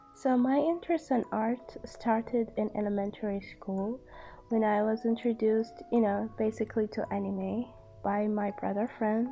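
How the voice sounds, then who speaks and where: A woman at a fairly high pitch, with music in the background. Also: ordinary pitch variation, moderate pace. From Kuwait. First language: Arabic. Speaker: art student and artist. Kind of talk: voiceover tutorial and story time. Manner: unscripted, hesitant with fillers.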